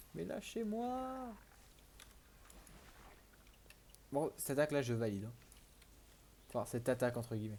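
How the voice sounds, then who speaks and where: Soft-spoken, a man talks at a very slow pace with long, frequent pauses and big swings in loudness. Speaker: gaming youtuber. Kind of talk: gameplay commentary. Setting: home recording at night. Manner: halting.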